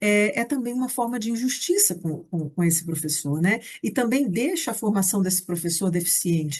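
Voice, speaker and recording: A woman's somewhat breathy voice at a moderate pace, over a quiet background. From Brazil, Rio de Janeiro. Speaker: teacher and education researcher. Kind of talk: recorded lecture.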